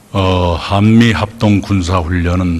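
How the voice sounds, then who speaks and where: A man speaks at a very slow pace. His voice is very deep and low. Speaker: prime minister. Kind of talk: parliamentary interpellation answer.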